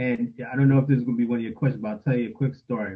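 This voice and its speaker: A man with a New York accent speaks at a medium pitch with fairly even intonation. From New York City (Queens). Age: 50s. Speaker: father, panel guest. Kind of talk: panel discussion.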